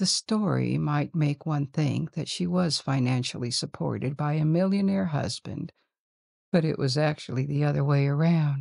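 A woman's very deep, low voice with a dark, mellow and gentle tone, ordinary pitch variation, and a dry, close sound with no echo. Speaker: sleep-story narrator. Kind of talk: bedtime story telling. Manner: slow, soothing; gentle, hushed, measured.

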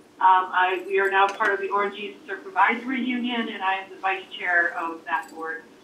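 Light background noise and audible room echo accompany a woman speaking with ordinary pitch variation. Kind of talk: self-introduction at a meeting. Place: meeting room.

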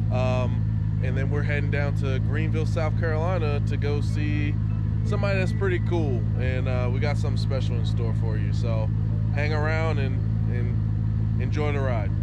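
Loud background noise sits behind a man speaking at a moderate pace. The sound is dry, with no echo. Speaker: vlogger host. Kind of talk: casual vlog chat. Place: street. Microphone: phone near.

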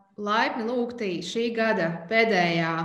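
Audible room echo around a woman's voice, her pitch varying in an ordinary way. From Latvia. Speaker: webinar moderator. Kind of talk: event introduction; webinar introduction. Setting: video call webinar. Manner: hesitant, many fillers. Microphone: webcam.

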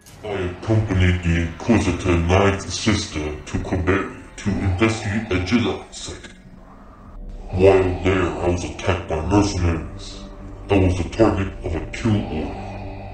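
A menacing tone comes through at a moderate pace. Clear background noise and a slight echo sit behind it. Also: man. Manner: cold, menacing, slow.

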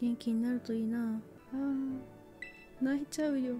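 A soft-spoken woman with a fairly high pitch, music in the background. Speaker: VTuber. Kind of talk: casual game stream commentary. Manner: very quiet, soft-spoken.

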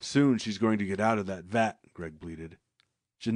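A quiet background sits behind a natural reading voice whose pitch varies in an ordinary way.

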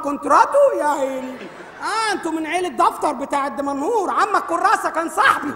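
At a moderate pace, a woman speaks with an extremely high pitch and lively intonation over light background noise. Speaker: stage comedy actor. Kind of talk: theatrical comic dialogue. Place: stage. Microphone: lapel.

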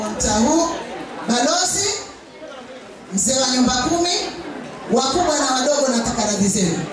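Music plays in the background, and audible room echo surrounds the voice. A woman speaks at a moderate pace. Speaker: bridal instructor at kitchen party. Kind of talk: speech to audience. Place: hall.

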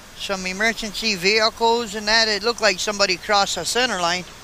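A man speaks in a raised, projected voice at a moderate pace. The sound is dry with no echo, with light background noise. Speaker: truck driver vlogger. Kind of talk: casual vlog chat. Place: car. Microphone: camera far.

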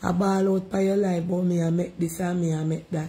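A relaxed, somewhat breathy woman with a Jamaican accent, a dark, mellow tone and a fairly low pitch. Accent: Jamaican, with patois. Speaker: livestream host. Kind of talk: casual live chat reading comments. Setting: at home, livestream. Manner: relaxed, chatty. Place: home room. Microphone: phone near.

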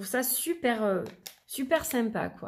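A woman speaks at a very slow pace. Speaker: tarot and oracle card reader, YouTuber. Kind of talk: product review, unboxing. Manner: chatty, with frequent fillers.

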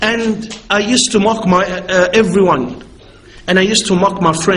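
Fairly even intonation runs through this unforced reading voice.

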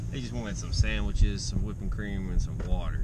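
Loud background noise surrounds a man's voice in a dry recording with no echo. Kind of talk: casual vlog chat. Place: car. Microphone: phone near.

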